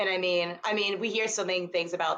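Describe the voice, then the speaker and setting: Pitch varies in an ordinary way. The speaker is a woman with a fairly low pitch. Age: 20s. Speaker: author and former teacher. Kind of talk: casual interview chat. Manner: fast.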